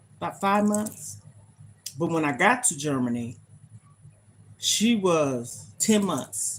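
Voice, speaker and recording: Very slow and full of vocal fry, the voice moves through very wide pitch swings. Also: woman, long, frequent pauses. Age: 50s. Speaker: lifestyle livestreamer. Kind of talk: casual livestream chat. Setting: livestream.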